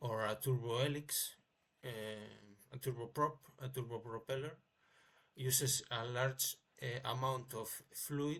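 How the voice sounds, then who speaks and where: Long, frequent pauses in a monotone, flat delivery. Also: man, medium pitch for a man, fairly slow pace. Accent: non-native. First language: not English. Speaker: amateur inventor. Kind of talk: tutorial. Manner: halting, many fillers.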